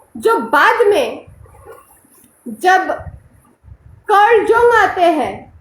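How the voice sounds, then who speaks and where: A woman speaks with big swings in loudness and long, frequent pauses. Audible room echo is present. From Bengal, India. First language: Bengali (speaking Hindi). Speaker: spiritual teacher. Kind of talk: lecture.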